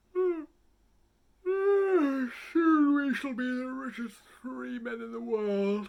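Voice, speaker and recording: A put-on character voice with a high pitch moves at a very slow pace with long, frequent pauses. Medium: read story. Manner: greedy, scheming.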